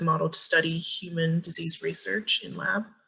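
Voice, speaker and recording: A woman's fairly low voice at a moderate pace. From US South, Georgia. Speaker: student. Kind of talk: class presentation.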